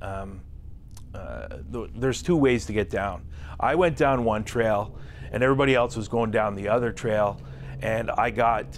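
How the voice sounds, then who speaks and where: A man at a moderate pace with lively intonation, over light background noise. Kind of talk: interview answer. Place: studio.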